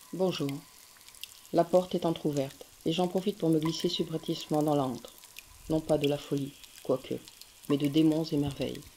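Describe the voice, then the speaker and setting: Noticeable background noise fills the gaps as the talk halts with long, frequent pauses. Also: moderate pace. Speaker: radio programme presenter. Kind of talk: scripted radio introduction.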